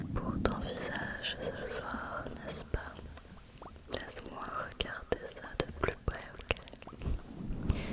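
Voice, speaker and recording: Whispering at a very slow pace, a woman speaks against noticeable background noise. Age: 20s. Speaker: ASMR creator. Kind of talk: ASMR roleplay, close personal attention. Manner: soft-spoken, gentle, slow, soothing.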